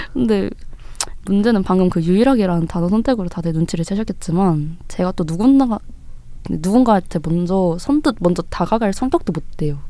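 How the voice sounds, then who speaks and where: A woman's unremarkable speaking voice, fairly quick, with lively intonation. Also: medium pitch for a woman. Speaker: student podcast co-host. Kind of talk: casual podcast chat.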